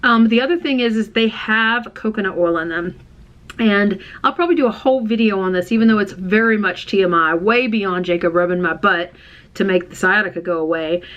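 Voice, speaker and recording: With an American accent and an animated tone, a woman talks at a fairly quick pace, her medium pitch showing ordinary variation. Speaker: vlogger. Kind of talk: casual chat. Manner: fast.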